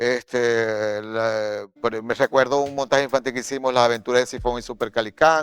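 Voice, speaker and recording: A man's normal speaking voice at medium pitch, fairly even intonation and moderate pace, dry and close with no echo, on a very clean recording with a silent background. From Maracaibo, Venezuela. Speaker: actor, director and playwright. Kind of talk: interview answer.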